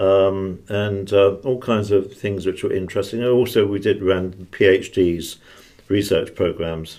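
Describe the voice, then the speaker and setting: A man with a British accent, fairly low in pitch, with a dark, mellow tone, fairly even intonation and a fairly slow pace. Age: 70s. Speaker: retired intelligence officer and author. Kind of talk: interview.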